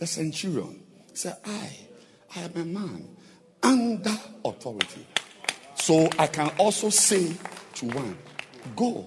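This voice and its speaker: A man speaking at a very slow pace, with noticeable background noise and audible room echo. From Cameroon. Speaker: visiting preacher. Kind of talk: sermon. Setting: church with congregation. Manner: animated.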